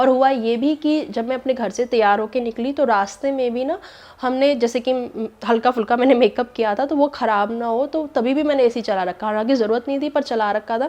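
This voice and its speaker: With hardly any pauses, a woman speaks at a moderate pace in a high voice with ordinary pitch variation. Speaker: vlogger. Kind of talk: casual vlog talk.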